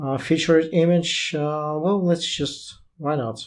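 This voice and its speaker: A man speaks with a non-native accent. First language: not English. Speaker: tech YouTuber reviewing AI writing tools. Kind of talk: software tutorial, screen walkthrough. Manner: casual, hesitant with fillers.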